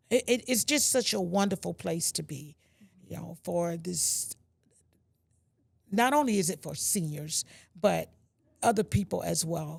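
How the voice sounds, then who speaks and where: A woman with a fairly low pitch and vocal fry speaks at a fairly slow pace with lively intonation and long, frequent pauses. Her loudness swings widely, and the recording is very clean with a silent background. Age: 60s. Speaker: senior food bank client. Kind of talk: interview.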